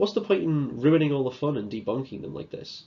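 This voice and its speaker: In a Liverpool accent, a man talks at a fairly quick pace with a dark, mellow tone. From northern England, Liverpool. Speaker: student speaker. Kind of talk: conference talk.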